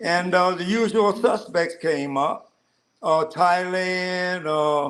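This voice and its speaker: Speaking at a very slow pace, a man has a high pitch and ordinary pitch variation. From US Midwest, Detroit. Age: 70s. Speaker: retired expat. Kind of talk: interview.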